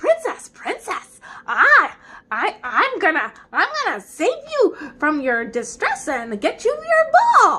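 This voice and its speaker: A woman puts on a character voice at an extremely high pitch. She speaks fairly slowly, her pitch swinging very widely. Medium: read story. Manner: pushy, demanding.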